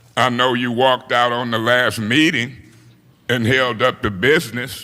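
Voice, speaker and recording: Audible room echo surrounds a voice whose intonation is fairly even. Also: man. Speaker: city council president. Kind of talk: council meeting debate. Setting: city council chamber. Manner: loud.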